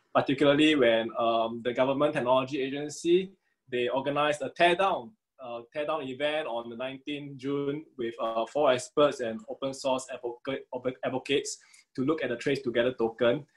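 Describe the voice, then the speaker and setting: A man talks with fairly even intonation at a moderate pace. The background is quiet. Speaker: panel moderator. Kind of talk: webinar moderator introduction. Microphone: video call.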